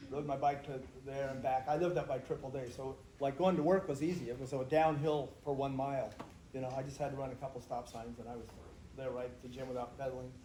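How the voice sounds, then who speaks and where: A man's somewhat breathy, dark, mellow voice at a medium pitch, very fast in pace, with audible room echo. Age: 70s. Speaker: astronomy instructor and track coach. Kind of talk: casual storytelling to students on a field trip. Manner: animated, conversational.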